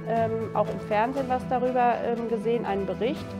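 A woman speaks while music plays clearly in the background. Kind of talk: interview answer. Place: home room. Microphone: lapel.

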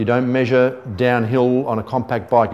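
Here a man talks at a moderate speed. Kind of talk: tutorial. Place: shop.

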